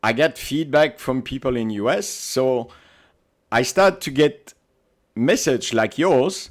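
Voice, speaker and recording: A man of medium pitch speaks at a very slow pace with lively intonation and long, frequent pauses. The recording is very clean, with a silent background. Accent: Belgian. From Belgium. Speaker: paintball team captain. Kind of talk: podcast interview.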